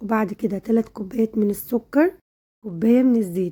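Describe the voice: Moving at a fast pace, a woman speaks in a dark, mellow tone with a slightly husky edge.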